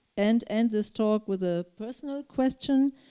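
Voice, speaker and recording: A woman's fairly high voice with a dark, mellow tone at a very slow pace. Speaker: event moderator. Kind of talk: panel discussion. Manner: hesitant, many fillers.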